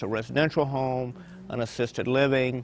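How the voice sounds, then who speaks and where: A medium-pitched man with a Southern US accent, fairly even intonation and a moderate pace. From Virginia. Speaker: hospice director. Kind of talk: interview. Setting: restaurant.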